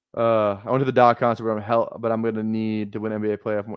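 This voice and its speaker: A man speaks in a Minnesotan accent, and the sound is dry and close with no echo. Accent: Minnesota. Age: 20s. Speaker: fantasy football streamer. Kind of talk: casual chat. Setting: live stream.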